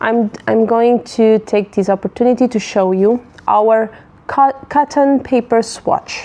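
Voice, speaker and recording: Over noticeable background noise, a woman with a non-native accent talks at a very slow pace, her pitch varying in an ordinary way. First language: not English. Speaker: paper stationery business owner. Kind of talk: live tutorial. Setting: livestream. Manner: halting, many fillers and restarts.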